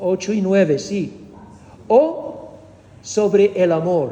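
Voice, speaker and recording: A man talks in a high voice with lively intonation. Noticeable background noise sits behind him. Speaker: preacher teaching doctrine. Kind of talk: doctrinal teaching sermon. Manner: engages audience with questions; hesitant, with fillers and repetitions.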